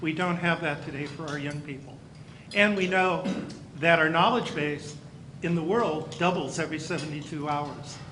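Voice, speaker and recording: Through audible room echo and noticeable background noise, a man with an American accent speaks at a moderate pace with fairly even intonation. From California (near Campbell). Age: 60s. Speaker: county school superintendent. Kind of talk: speech to luncheon audience. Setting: banquet luncheon.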